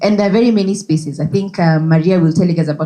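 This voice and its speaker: Fairly low in pitch with ordinary variation, a woman's voice comes across somewhat breathy, with a dark, mellow tone. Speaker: conference speaker. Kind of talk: presentation. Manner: animated.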